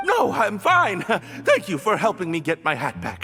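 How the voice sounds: A man's cartoonish character voice, high-pitched for a man, bright and sharp, with very wide pitch swings at a fairly slow pace over faint background music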